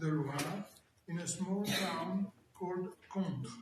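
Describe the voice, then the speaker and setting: Over noticeable background noise, a man with a high pitch and fairly even intonation talks at a very slow pace. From France, Paris suburbs. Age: 80s+. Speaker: Holocaust survivor. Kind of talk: testimony.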